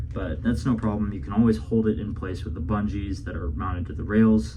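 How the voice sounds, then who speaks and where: A man's voice swings very widely in pitch. Noticeable background noise accompanies it. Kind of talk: product review talk to camera.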